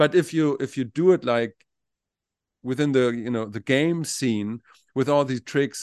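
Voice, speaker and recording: Speaking at a moderate pace with a German accent, a man uses ordinary pitch variation, the sound dry and close with no echo against a quiet background. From Germany. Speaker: podcast co-host. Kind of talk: casual chat. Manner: halting, repeats words.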